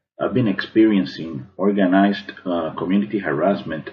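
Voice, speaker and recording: A man with an American accent has a very deep, low voice. He talks at a moderate pace with ordinary pitch variation. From Cuban American, Miami. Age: 40s. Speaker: artist. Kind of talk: prepared testimony to camera.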